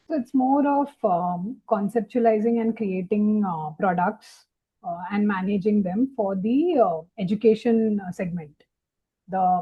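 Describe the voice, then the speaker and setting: Speaking at a fairly slow pace, a woman with a medium pitch sounds somewhat breathy and uses ordinary pitch variation. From India, Mumbai. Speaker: wildlife photographer. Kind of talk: casual interview conversation.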